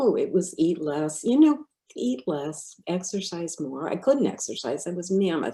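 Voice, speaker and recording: Her voice is a fairly low-pitched woman's voice with a dark, mellow tone, very wide pitch swings and a fairly slow pace. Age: 70s. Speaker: retired educator and counselor telling her health recovery story. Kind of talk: interview testimony. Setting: podcast interview.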